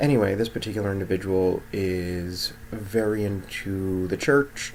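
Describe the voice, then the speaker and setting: Noticeable background noise surrounds a man who speaks at a moderate pace with fairly even intonation. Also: fairly low pitch for a man. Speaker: mental health clinician vlogger. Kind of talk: casual vlog monologue.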